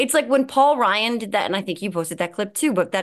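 A woman with a New Jersey accent. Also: quiet background. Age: 40s. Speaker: podcast host. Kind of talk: casual chat.

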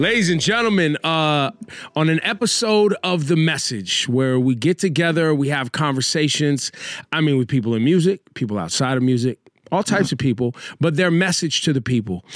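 Lively in intonation, a man with an American accent and an ordinary speaking voice speaks at a moderate pace and fairly high pitch on a very clean recording with a silent background. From Northern California. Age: 40s. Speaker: podcast host. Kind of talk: casual interview chat.

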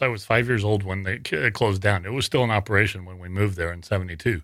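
A man talks at a very fast pace in a fairly low voice, recorded very cleanly against a silent background. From northern Wyoming. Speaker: paranormal investigator and writer. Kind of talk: casual interview. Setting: studio.

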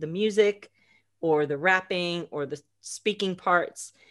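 This woman has a fairly low pitch and an American accent, speaking at a fairly slow pace with fairly even intonation. The background is quiet. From United States. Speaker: immersive audio producer. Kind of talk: interview. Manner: halting, many fillers.

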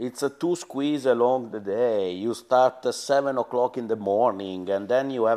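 A man speaks with an Italian accent against a quiet background. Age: 50s. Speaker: former rally team boss. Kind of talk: interview. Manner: halting.

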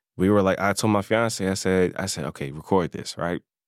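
A man with a very deep, low pitch speaks in an American accent at a fairly quick pace and fairly even intonation, with a dry, close sound with no echo on a very clean recording with a silent background. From North Carolina. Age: 20s. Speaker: self-taught chef and social media creator. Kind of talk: casual interview.

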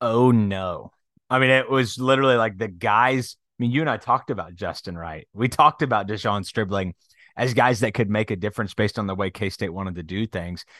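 A man with a normal speaking voice talks at a fairly quick pace and fairly low pitch. His pitch varies in an ordinary way, and the sound is dry and close with no echo. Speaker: sports podcast host. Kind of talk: casual chat.

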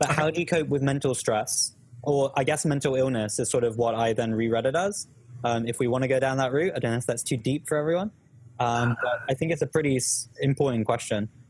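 This man speaks very fast with a British accent and a medium pitch. His loudness stays very even, with ordinary pitch variation. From UK. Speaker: academic coaching YouTuber, startup worker. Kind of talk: casual chat, live Q&A. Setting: live stream video call.

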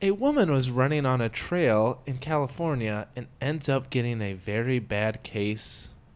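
A plain, everyday voice from a man, medium in pitch with ordinary pitch variation, at a fairly slow pace. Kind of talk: casual chat.

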